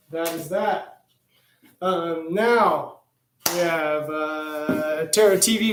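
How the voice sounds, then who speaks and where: A man's voice carries audible room echo. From Louisville, Kentucky. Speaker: tarot reader livestreamer. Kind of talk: livestream tarot reading, casual. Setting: live stream with music. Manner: casual, many fillers.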